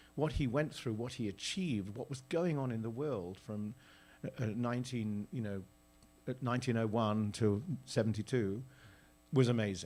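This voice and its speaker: A moderate pace in a British accent. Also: man, medium pitch for a man, ordinary pitch variation. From Britain. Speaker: theatre director. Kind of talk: onstage interview. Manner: halting.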